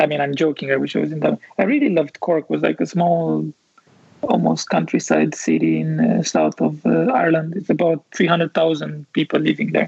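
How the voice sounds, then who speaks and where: A man talks at a fairly quick pace. He has a Romanian accent. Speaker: architect and visualization studio founder. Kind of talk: casual interview chat.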